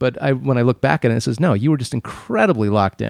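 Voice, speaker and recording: In an ordinary speaking voice, a man talks at a fairly quick pace with an American accent, recorded very cleanly against a silent background with a dry, close sound and no echo. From Arizona, US. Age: 40s. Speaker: radio DJ and triathlete. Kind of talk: casual chat.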